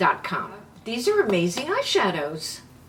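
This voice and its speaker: An animated woman with a fairly high pitch and very wide pitch swings talks over noticeable background noise. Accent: New York. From New York City. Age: 70s. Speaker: beauty vlogger. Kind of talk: makeup tutorial.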